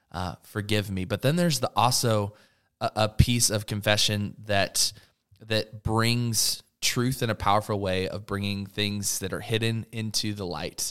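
A man talks at a fairly slow pace with fairly even intonation and a fairly low pitch. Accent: American. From Oregon, US. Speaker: student pastor. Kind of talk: casual chat.

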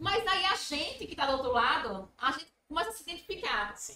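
Speaking at a moderate pace, a woman raises and projects her voice. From Brazil, Sergipe (Itabaiana). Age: 30s. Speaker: business manager and psychologist. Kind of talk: podcast interview.

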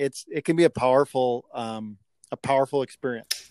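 Fairly even in intonation and medium in pitch, a man in a normal speaking voice is captured in a very clean recording with a silent background. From Canada. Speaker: podcast co-host, school principal. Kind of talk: podcast interview.

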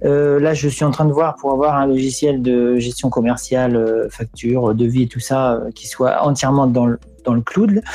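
Words come out fairly slowly. Behind them, background noise is noticeable. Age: 40s. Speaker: craftsman, livestream viewer joining the chat. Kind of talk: casual chat.

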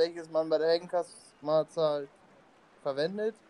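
Speaking at a very slow pace, a man has a high pitch and a dark, mellow tone. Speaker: podcast co-host. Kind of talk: casual chat.

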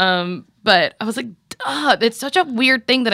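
A woman speaks at a moderate pace in a fairly high pitch, her tone bright and sharp and her intonation lively, with a dry, close sound and no echo. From Louisiana. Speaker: actor and comedy writer. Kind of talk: casual chat.

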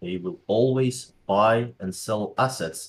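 With a Dutch accent, a man speaks at a very slow pace in a somewhat breathy voice. The recording is very clean with a silent background. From Netherlands. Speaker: crypto educator. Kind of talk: interview. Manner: halting.

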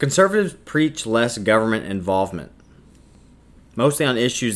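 A man with an unremarkable speaking voice talks at a moderate pace in a fairly low pitch, his intonation lively. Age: 20s. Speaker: podcast host and student. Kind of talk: solo opinion monologue.

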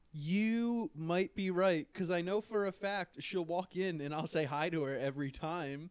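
The voice moves at a fairly slow pace with hardly any pauses and ordinary pitch variation. The sound is dry and close, with no echo. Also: man, high pitch for a man. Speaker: podcast co-host. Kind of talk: casual chat.

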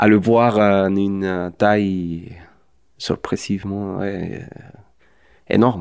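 A man's very slow, fairly low-pitched, monotone delivery with flat intonation, long, frequent pauses and a Spanish accent, on a very clean recording with a silent background. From Mexico. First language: Spanish (speaking French). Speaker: film director. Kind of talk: interview. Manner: halting.

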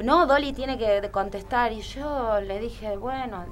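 A woman speaks at a fairly slow pace with vocal fry. There is audible room echo. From Argentina. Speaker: magician and burlesque performer. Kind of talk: interview.

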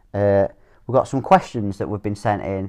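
A man speaks in an unremarkable speaking voice. It sits fairly low, with ordinary pitch variation. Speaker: podcast host, father. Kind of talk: casual father-son chat.

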